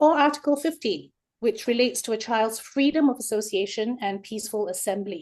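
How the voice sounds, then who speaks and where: In a Singaporean accent, a woman with a fairly high pitch speaks at a fairly quick pace. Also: ordinary pitch variation. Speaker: researcher. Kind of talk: webinar lecture.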